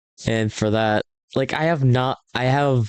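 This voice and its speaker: Against a quiet background, a man talks at a fairly slow pace, the sound dry and close with no echo. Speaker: YouTuber ranking tokusatsu suits. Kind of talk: casual tier list commentary. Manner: animated.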